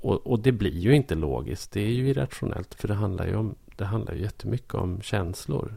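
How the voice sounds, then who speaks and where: Talking at a fairly quick pace with hardly any pauses, a man uses a fairly low pitch, a dark, mellow tone, vocal fry and lively intonation. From southern Norrland, Sweden (Bollnäs). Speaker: podcast co-host. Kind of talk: casual chat.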